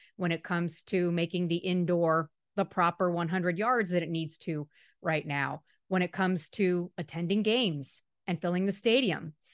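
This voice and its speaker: A woman with an American accent has a plain, everyday voice at a fairly low pitch, a moderate pace and fairly even intonation. The sound is dry and close with no echo, over a quiet background. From Miami, Florida. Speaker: sports reporter. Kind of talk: casual interview.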